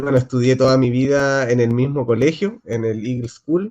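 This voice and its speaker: With a Chilean accent, a man speaks at a medium pitch and with fairly even intonation. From Chile, Antofagasta. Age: 30s. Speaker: city councillor and local historian. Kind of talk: casual talk. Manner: hesitant, many fillers.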